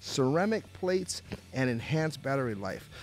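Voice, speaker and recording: A man speaks at a moderate pace. The sound is dry with no echo, and faint music plays in the background. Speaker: radio show host. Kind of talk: talk radio host chat and ad read. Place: studio.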